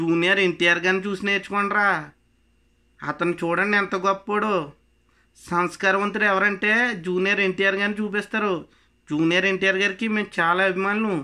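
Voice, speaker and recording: A raised, projected voice with a bright, sharp tone over a quiet background. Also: man, high pitch for a man. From Konaseema, Andhra Pradesh; Andhra Pradesh. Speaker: political party supporter. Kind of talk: angry political rant to camera. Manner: animated. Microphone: phone near.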